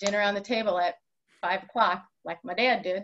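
A woman with an American accent has a plain, everyday voice at medium pitch. Light background noise can be heard. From Wisconsin (Waukesha); Wisconsin. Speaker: high school athletic director; podcast guest. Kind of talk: interview. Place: office. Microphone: webcam.

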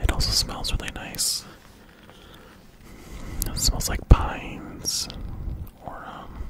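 A man whispering at a very slow pace, with long, frequent pauses and big swings in loudness. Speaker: ASMR creator. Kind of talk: ASMR video; casual talk to camera. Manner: whispered. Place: home room. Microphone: studio mic.

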